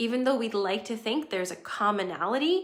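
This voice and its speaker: In an ordinary speaking voice, a woman with a fairly high pitch talks with lively intonation. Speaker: astrology livestream host. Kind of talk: livestream talk to viewers. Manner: casual.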